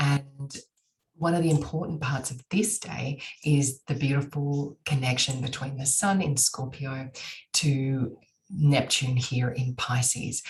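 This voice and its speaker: A woman with an Australian accent speaks very slowly in a very deep, low pitch with ordinary pitch variation. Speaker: astrologer. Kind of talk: monologue to camera.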